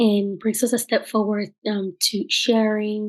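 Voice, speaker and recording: Against a quiet background, a woman with a Spanish accent and a fairly high voice talks at a fairly slow pace. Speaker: archaeologist and researcher. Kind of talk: lecture. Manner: slow, careful enunciation; hesitant, many fillers.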